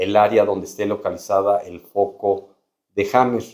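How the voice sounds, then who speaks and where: A man is speaking at a moderate pace. His pitch is fairly low. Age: 60s. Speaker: doctor. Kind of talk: medical explainer video.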